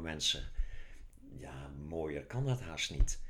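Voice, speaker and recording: There is audible room echo around a man's voice. He speaks at a fairly slow pace with ordinary pitch variation. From Netherlands, Zeeland. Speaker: author. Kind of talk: casual chat.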